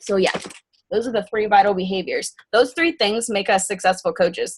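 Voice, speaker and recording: A woman with a medium-pitched, somewhat breathy voice talks, her pitch rising and falling normally. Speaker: team leader of fitness coaches. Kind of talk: team call briefing. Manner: fast.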